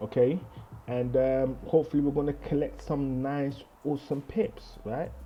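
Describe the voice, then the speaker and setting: A man in a London accent, fairly high in pitch, with ordinary pitch variation at a moderate pace. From London, England. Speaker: trading analysis YouTuber. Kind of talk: casual video outro to viewers. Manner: casual, rambling with fillers.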